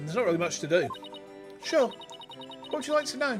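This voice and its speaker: A fairly quick pace over music in the background. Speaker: VTuber streamer. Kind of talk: reading game dialogue aloud on livestream.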